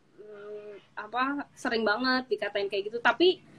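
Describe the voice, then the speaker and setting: This woman's voice is high in pitch. She speaks at a very slow pace. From Jakarta, Indonesia. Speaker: cultural business owner. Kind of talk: interview on live stream. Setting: Instagram live video call.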